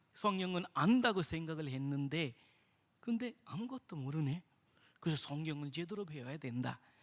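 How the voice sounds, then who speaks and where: Lively intonation and a bright, sharp tone mark this voice with an Indian accent, moving at a moderate pace. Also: man. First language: Indian language (speaking Korean). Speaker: missionary. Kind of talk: testimony. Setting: church.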